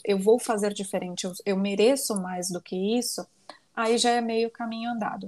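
Fairly even intonation in a woman's a plain, everyday voice of medium pitch. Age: 20s. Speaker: life coach and lawyer. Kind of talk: casual interview chat.

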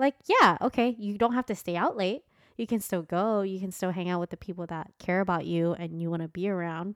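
A woman with a normal speaking voice talks fairly quickly at medium pitch, with ordinary pitch variation. The sound is dry and close, with no echo. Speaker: podcast co-host. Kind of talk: casual chat.

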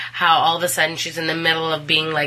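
A woman speaks fairly quickly at a very deep, low pitch. Noticeable background noise runs under her voice. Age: 30s. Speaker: co-host, host's wife. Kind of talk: casual chat.

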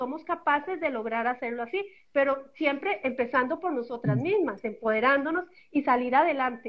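Her high voice moves with lively intonation as this woman talks at a moderate pace. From Costa Rica. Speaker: empowerment coach, guest. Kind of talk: casual panel discussion.

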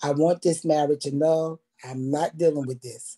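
A woman with an American accent and a dark, mellow tone at a moderate pace, in a dry, close sound with no echo. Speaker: online show co-host. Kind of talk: testimony. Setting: video livestream.

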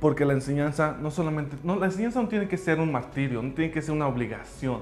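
A man speaks at a very fast pace with a fairly high pitch and ordinary pitch variation. Audible room echo surrounds him, and music plays in the background. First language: English (speaking Spanish). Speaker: language school founder. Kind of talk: personal story monologue.

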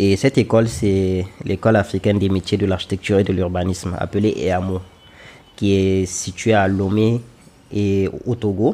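A man with a plain, everyday voice talks at a moderate pace, his fairly low pitch moving with fairly even intonation. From Niger. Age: 20s. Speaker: architect. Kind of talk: interview.

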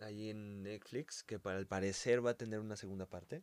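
A man speaking at a fairly quick clip with a Mexican accent. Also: dry, close sound with no echo. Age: 20s. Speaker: guest, host's friend. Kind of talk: casual chat.

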